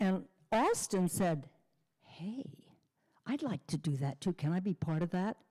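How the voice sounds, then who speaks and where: Somewhat breathy and dark, mellow in tone, a woman speaks at a fairly low pitch and a fairly slow pace with lively intonation and long, frequent pauses, in a dry, close sound with no echo. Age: 80s+. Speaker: memorial service speaker. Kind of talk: eulogy remarks.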